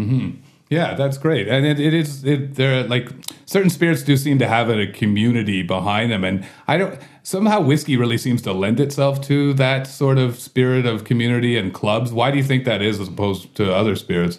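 A plain, everyday voice with a Canadian accent moves at a fairly quick pace. The intonation is lively. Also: man, medium pitch for a man. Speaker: podcast host and bar owner. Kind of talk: casual interview chat. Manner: jokey, laughs often.

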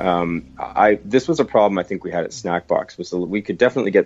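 A man with a normal speaking voice, fairly low in pitch with ordinary pitch variation, at a fairly quick pace in a dry, close sound with no echo. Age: 30s. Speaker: entrepreneur. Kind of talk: interview.

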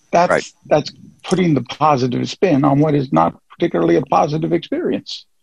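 The man talks at a fairly quick pace with very even loudness, the sound dry and close with no echo. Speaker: caller. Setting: phone call.

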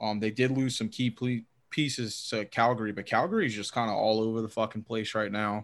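A man with an American accent speaks in an unremarkable speaking voice at medium pitch, at a fairly quick pace with hardly any pauses and fairly even intonation. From US South. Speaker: hockey podcaster. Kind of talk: casual chat.

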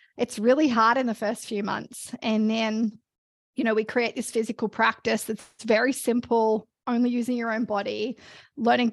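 In an Australian accent, the speaker talks at a moderate pace with fairly even intonation over a quiet background. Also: woman. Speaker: fitness coach and business founder. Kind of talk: casual interview conversation.

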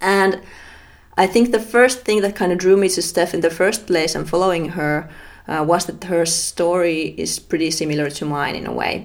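A woman with a Finnish accent speaks at a moderate pace, her fairly low voice showing ordinary pitch variation. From Finland. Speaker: podcast host. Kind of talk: interview conversation; podcast intro.

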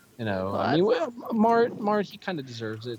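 A man at a fairly quick pace, his pitch swinging very widely, over noticeable background noise. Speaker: podcast caller and friend of the show. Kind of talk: casual chat.

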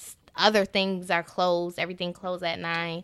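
A woman's fairly low-pitched, bright, sharp voice at a fairly slow pace. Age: 20s. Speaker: podcast co-host. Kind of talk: casual chat.

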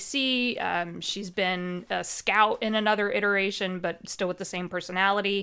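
A woman speaks in a Midwestern American accent with a bright, sharp tone and fairly even intonation. The recording is very clean and the background silent. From US Midwest. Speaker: Dungeon Master and podcast host. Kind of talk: casual interview chat.

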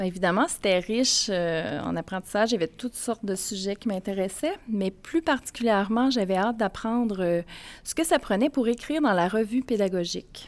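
Using an ordinary speaking voice, a woman speaks at a moderate pace and medium pitch with lively intonation. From Mauricie, Quebec. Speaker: college educator. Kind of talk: live podcast interview before audience. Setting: stage with audience.

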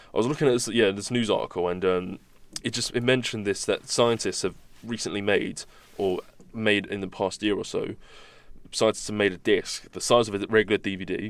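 His is an ordinary speaking voice, pitched fairly low. The man's intonation stays fairly even. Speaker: podcast co-host. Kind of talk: casual chat.

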